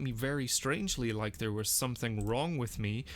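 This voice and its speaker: A man speaks in an animated tone in a very clean recording with a silent background. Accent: Northern Irish. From Northern Ireland. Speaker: language teacher and learner. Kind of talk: casual screen-recorded language practice commentary. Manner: animated, with repetitions and fillers.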